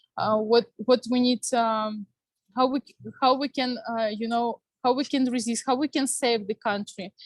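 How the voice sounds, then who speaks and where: A woman with a Ukrainian accent, fairly high pitch, fairly even intonation and a moderate pace, in dry, close sound with no echo. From Ukraine, Kyiv. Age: 30s. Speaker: panel speaker, Ukrainian youth organization member. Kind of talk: testimony. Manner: halting, many fillers.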